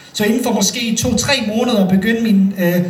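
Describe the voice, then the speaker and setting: The speaker has a Bosnian accent. Noticeable background noise runs underneath. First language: Bosnian (speaking Danish). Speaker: storyteller. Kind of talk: live storytelling. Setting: stage with audience.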